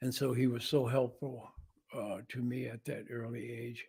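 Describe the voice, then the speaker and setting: Speaking with an American accent, a man has a dark, mellow tone. His voice is somewhat breathy. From US Midwest (Missouri, then Detroit). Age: 80s+. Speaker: jazz musician. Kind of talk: interview talk about his life. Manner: hesitant, many fillers.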